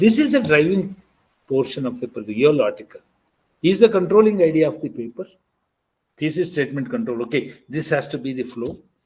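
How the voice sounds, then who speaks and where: A man with a fairly high voice talks at a fairly quick pace, with very wide pitch swings, big swings in loudness, and long, frequent pauses. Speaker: invited lecturer on academic writing. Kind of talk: lecture. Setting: online faculty development programme.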